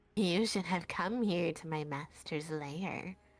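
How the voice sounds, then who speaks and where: A put-on character voice at a fairly slow pace. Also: woman, fairly low pitch for a woman. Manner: taunting, imp-like.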